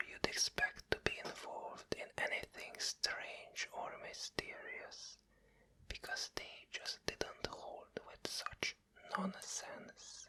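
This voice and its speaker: A man whispering at a very slow pace, with noticeable background noise. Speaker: ASMR whisper narrator. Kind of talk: whispered bedtime story reading of a novel chapter. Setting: binaural microphone, close to the ear. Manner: whispered, soft, slow.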